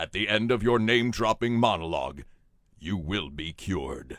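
A man booms out a put-on character voice at a medium pitch. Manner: grand, commanding.

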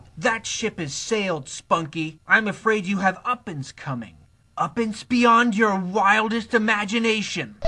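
In a cartoonish character voice, a man speaks high-pitched and raised, projecting outward. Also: moderate pace. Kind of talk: comic overacting. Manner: theatrical, gloating, aggrieved.

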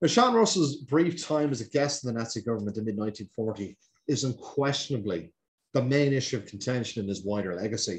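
Somewhat breathy and with an Irish accent, the voice moves at a fairly quick pace with lively intonation. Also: man. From Ireland. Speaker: historian. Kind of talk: lecture. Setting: video call. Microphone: webcam.

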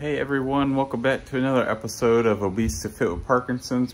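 There is light background noise behind a man as he talks. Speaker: fitness vlogger. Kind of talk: casual vlog chat. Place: home room. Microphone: phone near.

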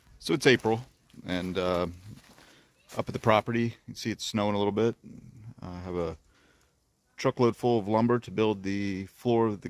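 A man's fairly low voice with ordinary pitch variation, big swings in loudness and long, frequent pauses, dry with no echo against a quiet background. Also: moderate pace. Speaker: cabin builder vlogger. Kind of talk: casual vlog chat. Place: forest. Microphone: phone near.

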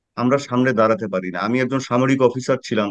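A man speaks with fairly even intonation. The sound is dry with no echo, and the background is quiet. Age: 50s. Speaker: political commentator, former military officer; political commentator. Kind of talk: panel discussion. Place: home room. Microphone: webcam.

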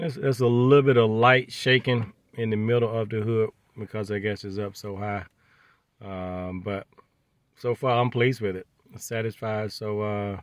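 A fairly low-pitched man at a moderate pace, dry sound with no echo, quiet background. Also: fairly even intonation. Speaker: car owner vlogger. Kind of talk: casual vlog chat. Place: car. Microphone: phone near.

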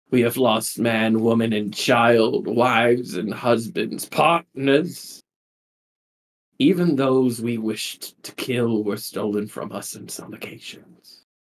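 A man adopts a put-on character voice, his pitch sitting at a medium level. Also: fairly slow pace. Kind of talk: sermon, grand proclamation. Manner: fervent, theatrical.

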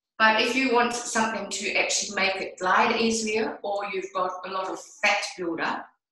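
A woman at a moderate pace with ordinary pitch variation, amid audible room echo. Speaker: product demonstrator. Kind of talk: tutorial. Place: bathroom. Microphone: video call.

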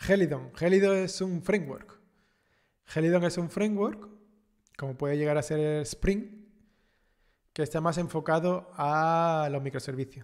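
The delivery is fairly slow, with long, frequent pauses. Pitch varies in an ordinary way against a quiet background. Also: man, high pitch for a man. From Andalusia, Cádiz, southern Spain; Andalusia. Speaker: programming YouTuber, senior developer; programming YouTuber. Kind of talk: live stream chat with viewers. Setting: live stream. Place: home room.

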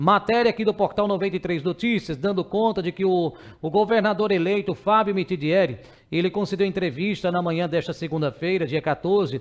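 A man with a high pitch talks at a moderate pace with ordinary pitch variation over a quiet background. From Brazil, Sergipe (Ribeirópolis); Sergipe, Brazil. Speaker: news show host. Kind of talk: news commentary. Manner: casual, conversational. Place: studio. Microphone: headset.

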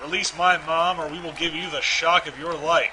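Against crowd noise in the background, the speaker uses ordinary pitch variation. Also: man. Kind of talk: literary audiobook reading of comic strips. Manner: shifts into mock-dramatic character voices for dialogue.

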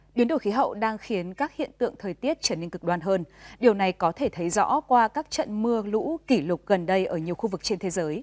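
Over a quiet background, a woman with a normal speaking voice talks at a fairly quick pace. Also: medium pitch for a woman, lively intonation, hardly any pauses. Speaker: news anchor. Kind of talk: news reading. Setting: studio. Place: studio. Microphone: lapel.

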